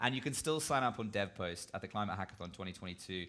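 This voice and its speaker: Against noticeable background noise, a man talks at a very fast pace in an animated tone with very wide pitch swings. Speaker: event host. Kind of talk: live event presentation.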